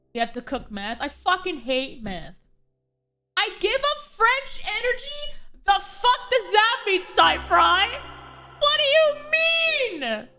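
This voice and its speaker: A woman's raised, projected voice at an extremely high pitch, very slow in pace with very wide pitch swings, over music in the background. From Canada (not Quebec). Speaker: vtuber streamer. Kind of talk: casual live stream chat. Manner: animated.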